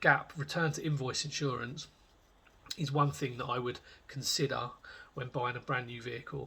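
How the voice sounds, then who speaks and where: Speaking with a British accent, a man has a bright, sharp tone and a fairly high pitch. He moves at a fairly quick pace, his intonation fairly even. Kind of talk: casual talk to camera. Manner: hesitant, many filler words.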